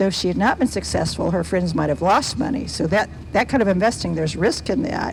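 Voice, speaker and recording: Noticeable background noise is present throughout. A woman talks over it at a fairly quick pace. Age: 70s. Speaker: children's book author. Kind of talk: Q&A talk to schoolchildren. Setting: school event with audience.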